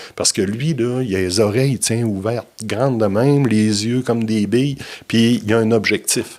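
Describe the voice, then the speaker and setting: This man has an unremarkable speaking voice at medium pitch, speaking at a moderate pace with fairly even intonation and very even loudness. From Quebec, Bas-Saint-Laurent (Trois-Pistoles). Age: 60s. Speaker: business consultant. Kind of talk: podcast interview.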